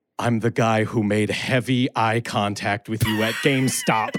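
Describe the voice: In a put-on character voice, a man speaks at a moderate pace with a medium pitch.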